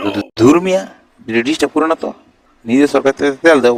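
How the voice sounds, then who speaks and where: A man does a whiny put-on character voice at medium pitch. He talks at a very fast pace. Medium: cartoon. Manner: repetitive catchphrase, whiny.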